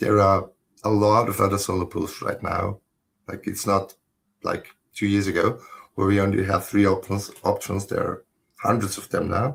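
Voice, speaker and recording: In a fairly low pitch, a somewhat breathy man talks at a moderate pace with monotone, flat intonation and long, frequent pauses. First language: German. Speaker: solo mining pool operator. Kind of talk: technical casual chat.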